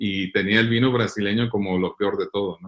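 A man is talking. His pace is moderate. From US, Sacramento, California. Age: 50s. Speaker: winemaker. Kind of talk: interview. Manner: halting.

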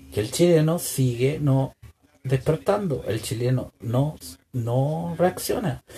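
At a very slow pace, a man with a medium pitch speaks with lively intonation. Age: 30s. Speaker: political podcaster. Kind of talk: political commentary monologue. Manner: halting, frequent repetitions.

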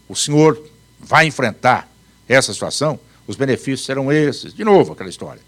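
Vocal fry colors this man's fairly high-pitched voice. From Paraná, Brazil. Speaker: law professor and retired judge. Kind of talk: live talk to an audience. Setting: live event with audience.

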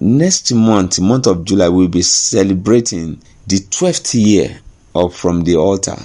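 With a Nigerian accent, a man speaks at a fairly low pitch in a dark, mellow tone. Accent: Nigerian (Yoruba) English. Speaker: pastor. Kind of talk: devotional sermon.

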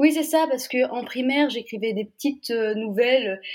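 Woman at a moderate pace with ordinary pitch variation. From Brittany, Saint-Malo. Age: young. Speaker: novelist. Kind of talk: interview. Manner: hesitant.

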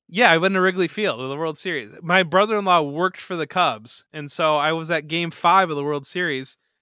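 A man speaks in a Midwestern American accent with a high pitch, a bright, sharp tone and ordinary pitch variation, leaving hardly any pauses. The recording is very clean, with a silent background. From northwest Ohio, Toledo area. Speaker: fantasy football analyst. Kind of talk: casual interview. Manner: halting, many repeated words.

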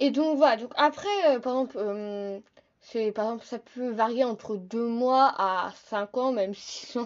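With an ordinary speaking voice, a woman talks at a fairly slow pace, her fairly high pitch showing ordinary variation. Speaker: podcaster. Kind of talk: casual solo podcast talk.

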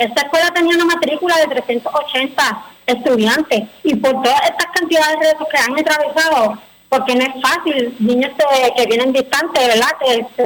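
Against noticeable background noise, a woman with a high pitch speaks at a moderate pace with ordinary pitch variation. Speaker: parents' group spokesperson. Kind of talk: radio interview.

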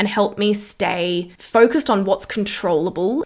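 A woman with an Australian accent, medium pitch, ordinary pitch variation and an animated tone, at a fairly slow pace. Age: 20s. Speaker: wellness podcast host. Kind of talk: solo podcast monologue.

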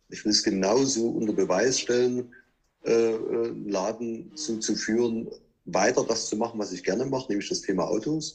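A man speaks at a medium pitch with ordinary pitch variation, in an ordinary speaking voice. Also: moderate pace. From Saxony, Chemnitz. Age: 40s. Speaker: car dealership owner. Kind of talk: interview.

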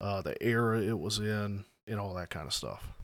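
Speaking at a fairly slow pace with a Southern US accent, the voice comes through a very clean recording with a silent background. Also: man. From US South, South Carolina. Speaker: RC hobby podcast co-host. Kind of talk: casual chat.

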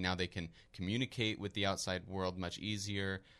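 With an American accent, the voice has monotone, flat intonation on a very clean recording with a silent background. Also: man. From Philadelphia, US. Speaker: economics student. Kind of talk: interview. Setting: studio. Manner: hesitant, many fillers.

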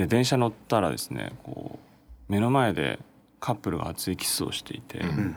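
A man talks at a moderate pace in a fairly low pitch with vocal fry. His pitch swings very widely. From Japan, Chiba. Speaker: startup founder and CEO. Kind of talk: interview.

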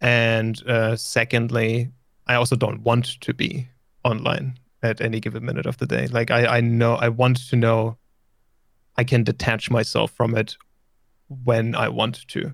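A man with a German accent speaks at a fairly slow pace and a medium pitch, with vocal fry, a flat monotone delivery, and long, frequent pauses. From Germany. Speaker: streamer and musician. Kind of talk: casual interview chat. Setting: remote call.

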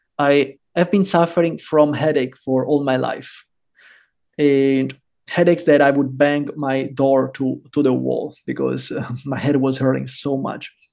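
Speaking with an Italian accent, a man talks at a fairly slow pace. His pitch is fairly high and his intonation flat and monotone. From Italy, Rome. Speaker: bitcoin podcaster and entrepreneur. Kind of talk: interview conversation.

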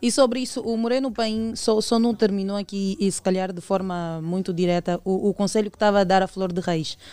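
This woman has a dark, mellow tone and talks at a fairly quick pace with hardly any pauses and ordinary pitch variation. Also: medium pitch for a woman. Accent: Angolan. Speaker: radio host. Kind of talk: morning radio show. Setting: studio.

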